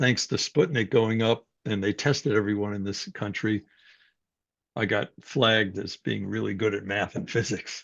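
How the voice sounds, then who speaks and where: Vocal fry runs through a man's fairly low-pitched voice. He talks at a fairly slow pace. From New York City, Greek immigrant family. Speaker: psychology professor. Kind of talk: personal story in a talk.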